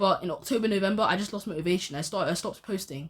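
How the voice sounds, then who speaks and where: Somewhat breathy and very fast, a woman talks at a medium pitch with ordinary pitch variation on a very clean recording with a silent background. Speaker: youtuber and amateur boxer. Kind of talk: casual vlog monologue. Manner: halting, repetitive.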